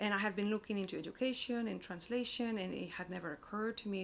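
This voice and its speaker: A woman is speaking. She has a Spanish accent. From Spain. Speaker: publishing operations director and writer. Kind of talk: interview. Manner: halting, many fillers and repetitions.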